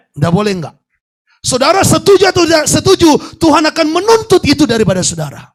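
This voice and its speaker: This man's voice sits extremely high for a man and swings very widely in pitch. He talks at a fairly quick pace with an animated tone. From Indonesia, North Sumatra (Batak). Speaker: pastor. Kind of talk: sermon.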